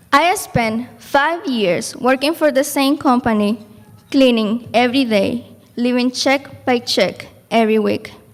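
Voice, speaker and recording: Noticeable background noise accompanies a speaker in a Spanish accent who keeps a fairly slow pace and very even loudness. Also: woman, high pitch for a woman, ordinary pitch variation. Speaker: program graduate. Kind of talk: graduation speech.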